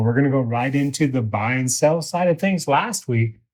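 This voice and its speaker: A man talks at medium pitch and a moderate pace. The recording is very clean, with a silent background. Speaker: real estate broker, show host. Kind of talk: casual chat. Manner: loud; animated.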